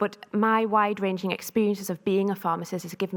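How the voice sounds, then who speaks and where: Over a silent background in a very clean recording, a woman talks at a fairly quick pace with monotone, flat intonation. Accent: North East England. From North East England. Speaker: pharmacist and researcher. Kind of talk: conference talk.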